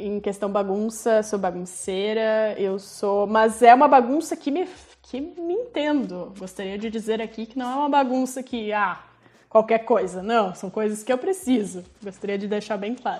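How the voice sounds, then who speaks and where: A woman with a fairly high pitch talks at a moderate pace, her pitch varying in an ordinary way while her loudness swings widely. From Rio Grande do Sul, Brazil (Farroupilha). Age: 20s. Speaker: small business owner, lingerie maker. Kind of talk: casual interview chat.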